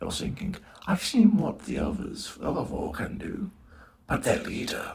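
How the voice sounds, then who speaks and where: A man puts on a character voice at a high pitch. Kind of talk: comic dub performance. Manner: calm, measured, menacing.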